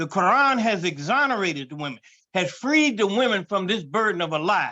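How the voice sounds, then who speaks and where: A man projects his raised voice at a high pitch and a fairly quick pace. His tone is bright and sharp over a quiet background. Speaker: imam. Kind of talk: religious panel discussion. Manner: animated.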